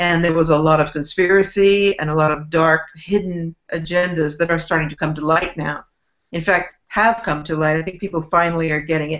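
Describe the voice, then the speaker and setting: The speaker has a normal speaking voice and an American accent. The pace is fairly quick. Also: woman, fairly low pitch for a woman, fairly even intonation. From US West Coast (San Francisco Bay Area). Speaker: author and spiritual teacher. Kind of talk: interview.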